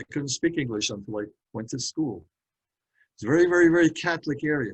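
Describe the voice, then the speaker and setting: Talking very fast with a New York accent, a man uses a fairly high pitch, lively intonation and big swings in loudness. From Brooklyn, New York. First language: Hungarian. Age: 80s+. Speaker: speaker on metaphysics. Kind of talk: talk to a community group.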